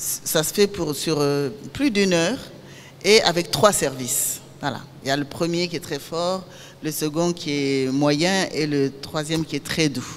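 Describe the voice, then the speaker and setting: A woman speaks at a very deep, low pitch with ordinary variation and a fairly slow pace. Noticeable background noise runs underneath. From Niger. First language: Zarma (Songhai) (speaking French). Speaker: filmmaker. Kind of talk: master class talk.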